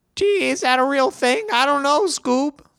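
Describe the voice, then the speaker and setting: The pitch is high. It belongs to a put-on character voice. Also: moderate pace. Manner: panicky, goofy.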